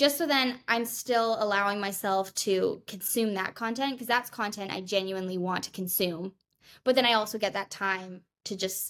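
A woman speaks in a plain, everyday voice at medium pitch and a moderate pace, with ordinary pitch variation, on a very clean recording with a silent background. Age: 20s. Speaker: law student and fitness influencer. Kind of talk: casual chat.

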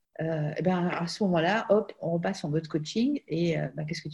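A somewhat breathy woman with a dark, mellow tone, lively intonation and a fairly slow pace. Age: 50s. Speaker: life coach, former physician. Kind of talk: casual interview.

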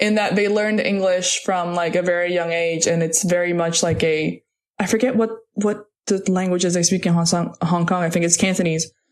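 Fairly quick, fairly low woman's voice in a Portuguese accent, with very even loudness and fairly even intonation. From Puerto Rico. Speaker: podcast co-host. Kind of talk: casual chat.

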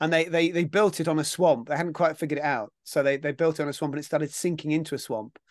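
A man with a southern English accent talks at a very fast pace, with hardly any pauses and a fairly high pitch. His intonation stays fairly even over a quiet background. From southern England. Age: 50s. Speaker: actor and TV presenter. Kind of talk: casual interview. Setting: video call.

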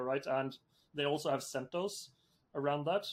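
Here a man speaks with a Norwegian accent. His pitch is fairly high. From Norway. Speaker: software entrepreneur. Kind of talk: interview.

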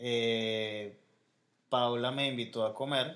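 A man with a Venezuelan accent at a very slow pace, his intonation fairly even. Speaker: podcast co-host. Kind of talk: casual chat.

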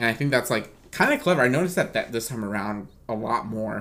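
A man's medium-pitched voice races along at a very fast pace. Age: 20s. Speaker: podcast host. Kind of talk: casual chat.

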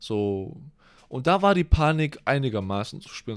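Lively intonation at a moderate pace from a man with medium pitch and a plain, everyday voice. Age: 20s. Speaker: podcast co-host, university student. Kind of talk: casual chat.

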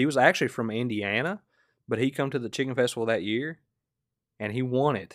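A man with a Southern US accent at medium pitch, fairly quick pace broken by long, frequent pauses, ordinary pitch variation, very clean recording and silent background. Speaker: podcast host. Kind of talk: casual chat. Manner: laid-back, joking.

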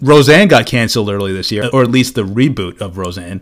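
A man with an ordinary speaking voice, medium in pitch, with lively intonation. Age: 30s. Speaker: podcast co-host. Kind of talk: casual chat.

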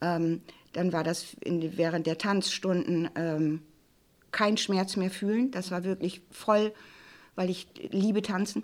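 A woman at a very slow pace with long, frequent pauses, medium pitch and ordinary pitch variation, on a very clean recording with a silent background. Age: 60s. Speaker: plain-language office head. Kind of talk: personal testimony on grief.

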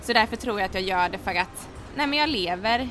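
A woman talks fairly quickly, with noticeable background noise throughout. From Sweden, Halmstad. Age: 20s. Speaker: hair styling influencer and student. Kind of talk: interview. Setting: café.

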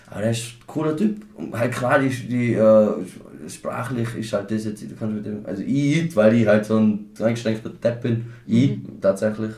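In a strong Tyrolean accent, a somewhat breathy man of medium pitch speaks at a moderate pace with ordinary pitch variation and audible room echo. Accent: strong Reutte Tyrolean dialect. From Austria, Tyrol (Reutte district). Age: 20s. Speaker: podcast host. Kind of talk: casual chat.

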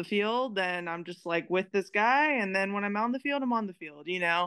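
In a Californian accent, a woman speaks at a moderate pace with lively intonation. The background is quiet. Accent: Californian American. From California, Merced. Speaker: pro softball player. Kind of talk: interview testimony. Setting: remote call.

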